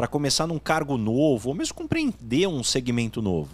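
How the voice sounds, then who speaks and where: Very wide pitch swings at a moderate pace. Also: man. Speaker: podcast host. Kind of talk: interview question.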